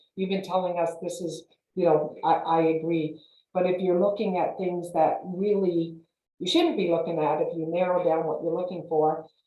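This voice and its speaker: Audible room echo surrounds a woman speaking at a moderate pace. Her fairly low voice has monotone, flat intonation. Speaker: realtor. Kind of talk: panel presentation. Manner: halting, many fillers.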